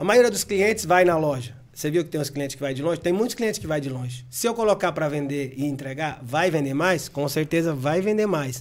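Lively intonation and a moderate pace from a man with a plain, everyday voice. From Bahia, Brazil. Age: 40s. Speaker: video game store owner. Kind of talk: casual interview.

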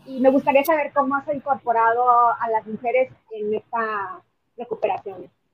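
A woman's high-pitched voice at a moderate pace. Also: ordinary pitch variation. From Mexico. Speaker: podcast host and activist. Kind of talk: interview.

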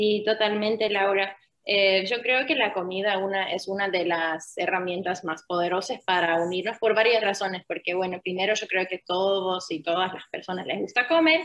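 Speaking at medium pitch, a woman talks in an Argentine accent. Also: ordinary pitch variation, moderate pace. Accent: Argentine-tinged Spanish. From Finland. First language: Finnish (speaking Spanish). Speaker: UN refugee protection officer. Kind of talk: interview.

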